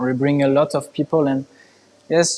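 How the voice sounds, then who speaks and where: A man with a French accent speaks at a moderate pace in a dark, mellow tone, fairly high in pitch with fairly even intonation, in a dry, close sound with no echo. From France. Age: young. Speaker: artist. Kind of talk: interview. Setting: art museum, live stream. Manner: halting.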